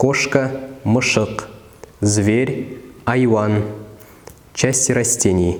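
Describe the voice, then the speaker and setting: Speech unfolds very slowly. The pitch moves in an ordinary way. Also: man. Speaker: word-list narrator. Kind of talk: educational vocabulary list reading. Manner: slow, clear.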